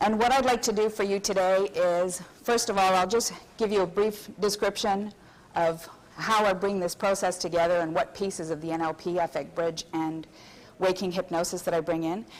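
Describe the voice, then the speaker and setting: A woman with a French Canadian accent, medium in pitch, at a moderate pace with fairly even intonation. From Quebec, Canada. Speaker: hypnotherapist and seminar presenter. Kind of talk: convention seminar lecture.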